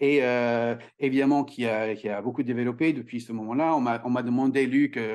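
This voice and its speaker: Moderate-paced speech from a man, the background quiet. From Ireland. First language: English (speaking French). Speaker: communication trainer and author. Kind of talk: podcast interview. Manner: halting, many hesitations.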